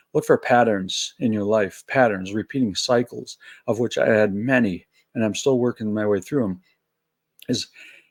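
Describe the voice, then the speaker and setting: A man with an American accent talks at a moderate pace and medium pitch, his intonation fairly even, in an unremarkable speaking voice. The recording is very clean with a silent background and a dry, close sound with no echo. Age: 60s. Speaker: spiritual video blogger. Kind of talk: solo reflective monologue. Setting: at home, early morning. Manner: casual, conversational.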